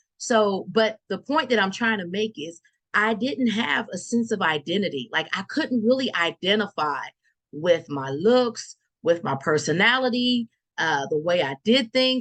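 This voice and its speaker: A woman speaks loudly at a fairly slow pace, her pitch swinging very widely over a quiet background. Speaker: evangelist podcaster. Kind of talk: motivational talk. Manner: halting.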